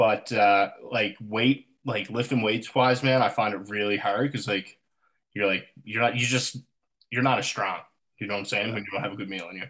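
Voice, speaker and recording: Delivered at a fairly quick pace with fairly even intonation, this is a normal speaking voice. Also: man, medium pitch for a man. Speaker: podcast host. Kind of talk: casual podcast chat.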